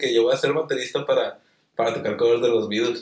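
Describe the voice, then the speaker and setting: With a Mexican accent, a man talks at a fairly high pitch and ordinary pitch variation. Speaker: YouTuber and podcast host. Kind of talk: casual chat.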